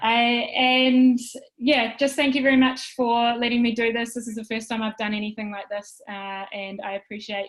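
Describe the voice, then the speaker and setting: A woman with a New Zealand accent at a moderate pace, with fairly even intonation. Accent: New Zealand, stronger lately. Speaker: wellbeing presenter. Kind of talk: casual chat.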